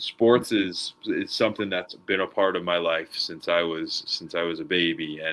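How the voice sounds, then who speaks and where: At a moderate pace, a man with an American accent talks with hardly any pauses. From New York, Long Island. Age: 20s. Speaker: podcast host. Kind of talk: interview conversation.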